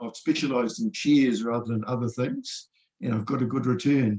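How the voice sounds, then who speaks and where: Someone with a New Zealand accent talks at a fairly quick pace. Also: man. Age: 60s. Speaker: retired engineering professor and trader. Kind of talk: interview. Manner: halting.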